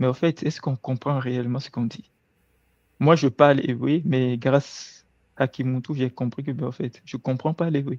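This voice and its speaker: A man talks at a medium pitch and a moderate pace. His intonation is fairly even, and the sound is dry and close with no echo. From Togo. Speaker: guest. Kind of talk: casual chat.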